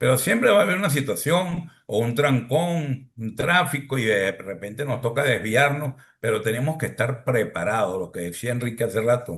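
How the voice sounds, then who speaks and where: In an ordinary speaking voice, a man talks at a moderate pace and medium pitch with lively intonation. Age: 60s. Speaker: podcast host. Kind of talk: podcast panel discussion.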